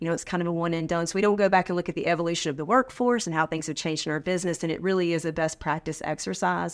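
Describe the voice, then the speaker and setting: Against a silent background on a very clean recording, a woman with an American accent talks at a very fast pace in a fairly low pitch. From North Carolina (Sanford). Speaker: manufacturing training executive. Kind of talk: interview.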